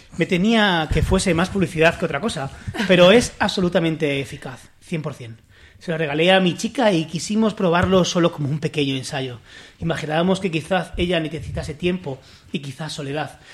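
The man's voice sits high in pitch. He speaks at a fairly quick pace with ordinary pitch variation. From Spain, La Mancha. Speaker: podcast host. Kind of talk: casual chat.

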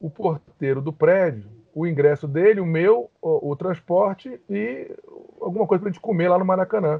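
A man's high voice swings very widely in pitch while he talks at a moderate pace. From Rio de Janeiro, Brazil. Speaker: lawyer. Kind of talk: podcast interview.

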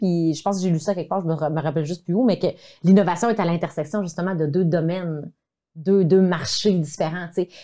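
On a very clean recording with a silent background, a woman talks at a very fast pace in a dark, mellow tone at a medium pitch. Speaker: video communication coach. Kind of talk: casual chat. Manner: animated.

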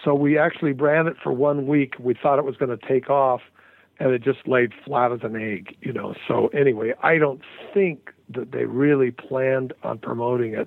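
A man with an American accent talks at a medium pitch, with ordinary pitch variation. He has an unremarkable speaking voice. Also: moderate pace. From Salt Lake City, Utah. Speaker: musician and producer. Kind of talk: interview.

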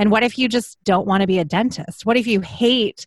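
Against a quiet background, with a dry, close sound and no echo, a woman uses a normal speaking voice at medium pitch, moderate pace and ordinary pitch variation. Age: 40s. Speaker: podcast guest. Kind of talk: casual chat.

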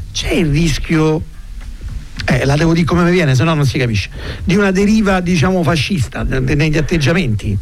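A man with a fairly high pitch talks at a fairly quick pace over music in the background, with audible room echo. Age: 50s. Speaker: radio host. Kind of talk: casual chat.

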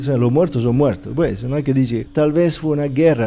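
This man speaks with an Italian accent. His pitch is medium, with ordinary variation. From Italy. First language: Italian (speaking Spanish). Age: 60s. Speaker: meditation teacher. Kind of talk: interview.

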